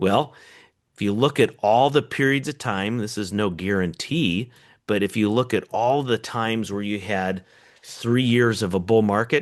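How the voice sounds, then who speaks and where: Against a quiet background, a man speaks in a plain, everyday voice at a fairly low pitch, moderate pace and ordinary pitch variation. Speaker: economist. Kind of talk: webinar presentation.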